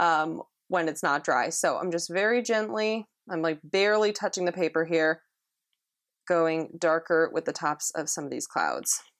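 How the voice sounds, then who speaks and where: A woman talks at a moderate pace in a fairly low pitch, recorded very cleanly against a silent background with a dry, close sound and no echo. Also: ordinary pitch variation. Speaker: watercolor art instructor. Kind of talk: tutorial. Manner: quiet during detail work; casual, filler-heavy.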